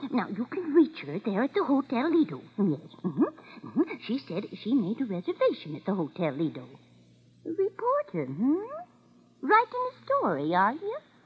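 A woman's put-on character voice, fairly high in pitch with very wide pitch swings, a slightly husky edge, and a moderate pace

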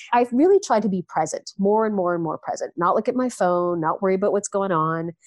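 In a Canadian accent, a woman talks fairly quickly at a medium pitch with ordinary pitch variation and an ordinary speaking voice. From Canada. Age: 50s. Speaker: nonprofit executive. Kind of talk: casual chat.

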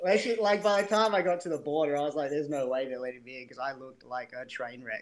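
A man with an Australian accent and a fairly high pitch, talking at a very fast pace with lively intonation, big swings in loudness and hardly any pauses. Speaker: bike brand co-founder, former plumber. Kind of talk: casual interview chat.

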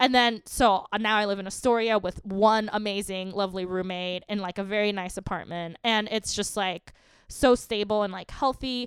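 In an American accent, a normal speaking voice moves at a moderate pace with hardly any pauses and fairly even intonation. The recording is very clean, with a silent background. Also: woman, medium pitch for a woman. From New York, Queens. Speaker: comedian. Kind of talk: casual chat.

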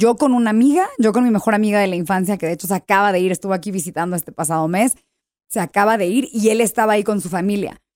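Very fast female speech at a medium pitch, ordinary pitch variation, and a dry, close sound with no echo. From US, San Diego. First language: English (speaking Spanish). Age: 20s. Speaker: TV host and actress. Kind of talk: casual chat.

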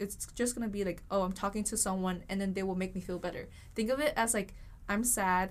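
With a Vietnamese accent, a woman with a medium-pitched voice talks at a fairly quick pace and fairly even intonation. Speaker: university student. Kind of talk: casual chat.

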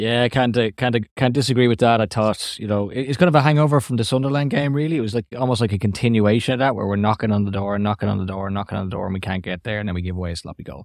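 Very fast and with hardly any pauses, a man with an Irish accent speaks at a fairly low pitch with ordinary pitch variation, the sound dry and close with no echo, in a very clean recording over a silent background. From Ireland. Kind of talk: casual chat.

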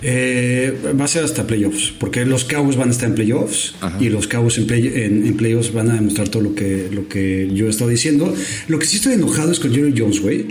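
Man at a medium pitch with ordinary pitch variation, moderate pace and very even loudness, plus audible room echo and noticeable background noise. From Mexico. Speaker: NFL podcast co-host. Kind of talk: casual chat.

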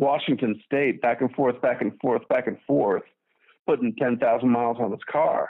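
An unremarkable speaking voice: a man at medium pitch, fairly slow, with ordinary pitch variation. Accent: American. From Chicago, US. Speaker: caller. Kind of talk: call-in discussion. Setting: phone call.

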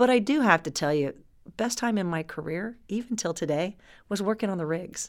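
In a very clean recording with a silent background, a woman uses a normal speaking voice at medium pitch, a fairly quick pace and lively intonation. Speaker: oil industry executive. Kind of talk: interview.

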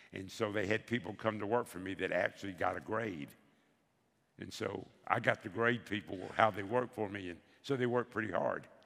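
A man talks with a Southern US accent at a fairly low pitch. His tone is bright and sharp. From US South, Bessemer, Alabama. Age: 70s. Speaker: veteran insurance advisor. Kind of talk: onstage interview. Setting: stage with audience.

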